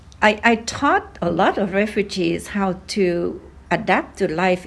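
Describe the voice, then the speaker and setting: On a very clean recording with a silent background, a woman speaks with a slight Vietnamese accent. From Vietnam, Hanoi. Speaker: oral history interviewee, grandmother. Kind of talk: interview. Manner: hesitant, many fillers.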